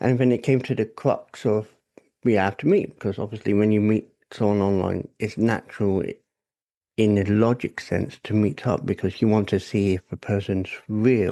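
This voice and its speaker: Against a quiet background, a man with a British accent speaks at a moderate pace in a dark, mellow tone, fairly low in pitch with fairly even intonation. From England. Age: 40s. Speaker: podcast guest. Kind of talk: personal testimony in casual interview.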